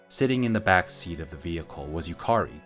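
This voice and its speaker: With music in the background, a man speaks at a moderate pace in a very deep, low voice that swings very widely in pitch. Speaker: audiobook narrator. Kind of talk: audiobook narration.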